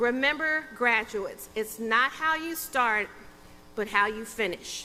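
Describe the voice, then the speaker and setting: A woman talks in a Texas accent. Her pace is fairly slow. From Texas, Sherman. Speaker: judge. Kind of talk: commencement speech. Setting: stage with audience.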